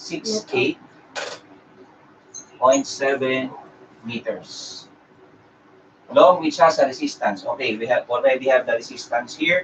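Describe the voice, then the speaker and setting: Speaking at a fairly slow pace with long, frequent pauses, a man with a Filipino accent is heard over noticeable background noise. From Philippines. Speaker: engineering review lecturer. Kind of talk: live-streamed lecture. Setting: live stream. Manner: halting, many fillers.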